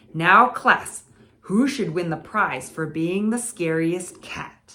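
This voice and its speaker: A put-on character voice, female-sounding and medium in pitch for a woman, speaks at a very slow pace. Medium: read story.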